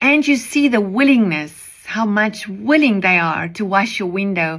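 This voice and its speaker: A woman talks at a fairly slow pace with lively intonation. Room echo is audible. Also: medium pitch for a woman. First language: Afrikaans. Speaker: preacher. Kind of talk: devotional message.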